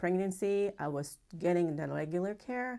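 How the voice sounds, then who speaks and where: In a Japanese accent, a woman speaks with ordinary pitch variation on a very clean recording with a silent background. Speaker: acupuncturist. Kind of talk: interview testimony. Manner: halting.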